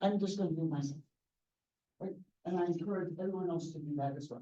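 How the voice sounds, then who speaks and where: Audible room echo surrounds a woman speaking fairly quickly in a dark, mellow tone at a fairly low pitch. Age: 70s. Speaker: engineering professor. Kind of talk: lecture. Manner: direct.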